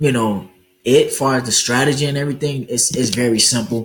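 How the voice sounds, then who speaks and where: Speaking in an unremarkable speaking voice, a man talks at a fairly slow pace with a medium pitch and ordinary pitch variation. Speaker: forex trading educator. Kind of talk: tutorial. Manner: casual, many fillers.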